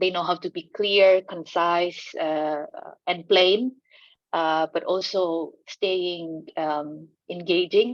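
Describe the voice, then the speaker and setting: A woman with an Indonesian accent speaks very slowly in a fairly low voice with fairly even intonation. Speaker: land rights organization communicator. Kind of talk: panel discussion. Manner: halting, many fillers.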